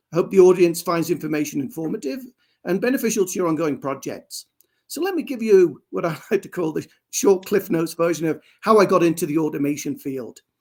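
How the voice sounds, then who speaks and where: In a very clean recording with a silent background, a man with an English accent talks at a very fast pace and a high pitch, with lively intonation and big swings in loudness. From England. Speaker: industrial automation engineer. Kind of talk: interview. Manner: formal.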